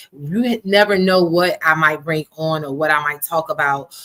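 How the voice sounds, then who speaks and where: In an American accent, a woman speaks at a fairly low pitch with fairly even intonation and a bright, sharp tone. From Miami, Florida (early childhood Buffalo, New York). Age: 40s. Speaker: pastor. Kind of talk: testimony. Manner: fast.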